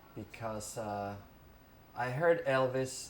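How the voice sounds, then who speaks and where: A man talks. Audible room echo and noticeable background noise surround him. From Mexico. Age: 50s. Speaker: interviewee recounting music history. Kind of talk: oral history interview. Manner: hesitant, many fillers.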